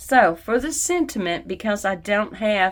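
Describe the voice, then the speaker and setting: A woman at a fairly slow pace. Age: 60s. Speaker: card-making YouTuber. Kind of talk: craft tutorial with personal chat. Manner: casual, conversational.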